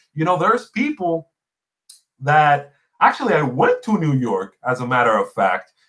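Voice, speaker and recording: With a Spanish accent, a man talks at a moderate pace in a fairly high voice. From Puerto Rico. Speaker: gaming podcast host. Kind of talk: casual chat. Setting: livestream.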